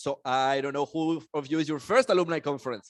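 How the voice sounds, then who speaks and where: With a Mexican accent, a man talks at a fairly quick pace in a fairly high pitch, the sound dry and close with no echo and the background quiet. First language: Spanish. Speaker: conference emcee. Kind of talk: conference opening speech. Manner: animated.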